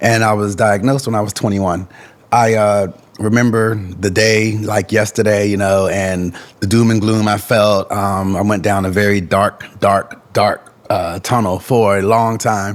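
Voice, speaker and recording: Over noticeable background noise, a man talks at a fairly slow pace with a fairly low pitch. His loudness stays very even and his intonation is monotone and flat. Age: 40s. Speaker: podcast guest living with HIV. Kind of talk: casual chat. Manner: halting.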